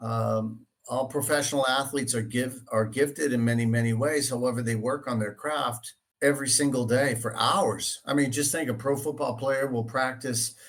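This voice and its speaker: With a Boston accent, a man speaks at a medium pitch and with fairly even intonation. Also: moderate pace. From Boston area, Dorchester, Massachusetts. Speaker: real estate agent. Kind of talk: interview. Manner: halting, many fillers.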